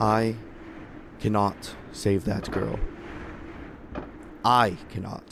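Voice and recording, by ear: A man's put-on character voice, fairly low in pitch yet fairly bright in tone, with vocal fry, little pitch movement and a very slow pace over faint background noise.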